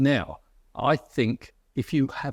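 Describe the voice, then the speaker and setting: A man with a southern English accent, over a quiet background. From southern England, near London. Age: 70s. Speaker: author and philosopher. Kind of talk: interview conversation. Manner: halting, many fillers.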